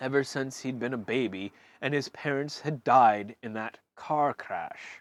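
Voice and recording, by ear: Reading aloud in a natural voice, the speaker's pitch rises and falls in an ordinary way.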